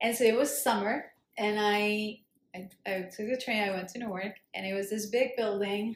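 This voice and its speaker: A woman talks at a moderate pace with a fairly high pitch. Her intonation is fairly even. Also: big swings in loudness. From Colombia. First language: Spanish. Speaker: immigrant sharing her life story. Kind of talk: casual interview conversation. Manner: hesitant, many fillers.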